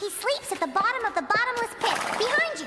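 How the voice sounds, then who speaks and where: Squeaky and extremely high for a woman, this female-sounding cartoonish character voice races along at a very fast pace. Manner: calm, ethereal.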